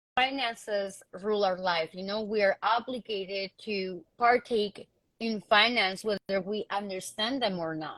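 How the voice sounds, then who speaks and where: A woman at a fairly slow pace, with big swings in loudness. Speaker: panel guest in community discussion. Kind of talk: casual discussion. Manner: hesitant, many fillers.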